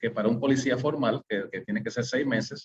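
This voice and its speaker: A man's voice at medium pitch with ordinary pitch variation. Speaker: webinar presenter, community leader. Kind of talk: webinar presentation. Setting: online webinar. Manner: halting, many fillers and self-corrections.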